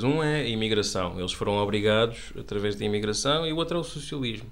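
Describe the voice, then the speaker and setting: Here a man talks at a fairly quick pace with a European Portuguese accent. His pitch is medium, with ordinary pitch variation. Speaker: podcast co-host, commentator. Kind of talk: casual satirical panel chat.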